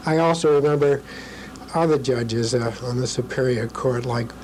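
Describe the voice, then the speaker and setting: A man's medium-pitched voice at a moderate pace, fairly even intonation, with noticeable background noise and audible room echo. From New Hampshire, US (Concord). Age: 70s. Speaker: retired lawyer. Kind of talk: oral history interview. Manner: halting, many fillers.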